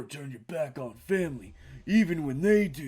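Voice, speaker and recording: A man's put-on character voice, fairly high in pitch, solemn in tone, at a moderate pace. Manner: boastful, gruff, solemn.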